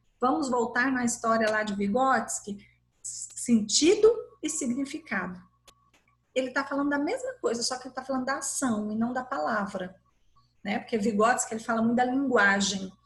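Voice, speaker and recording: Her pitch high and her variation ordinary, a woman talks at a moderate pace. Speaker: university lecturer in educational psychology. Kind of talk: lecture. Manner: animated.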